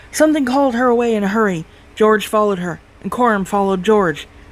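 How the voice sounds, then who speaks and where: A female-sounding voice does a put-on character voice at a fairly high pitch. The pace is very fast. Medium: read story. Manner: grim.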